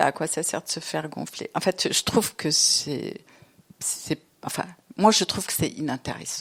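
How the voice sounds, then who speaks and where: A woman is the speaker. Her voice is fairly low in pitch. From Lebanon. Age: 60s. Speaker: novelist and theatre director. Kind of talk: literary interview. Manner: hesitant, many fillers.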